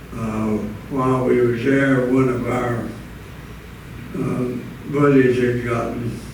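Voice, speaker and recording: A man with a Southern US accent, medium-pitched, monotone and flat, at a very slow pace, over noticeable background noise. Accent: Southern American. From Florida. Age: 80s+. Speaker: war veteran. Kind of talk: interview answer.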